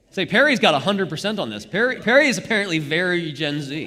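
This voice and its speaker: Bright and sharp in tone, a man's voice makes very wide pitch swings against audible room echo. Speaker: Bible study leader. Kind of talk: interactive Bible study. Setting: church live stream. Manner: fast; halting.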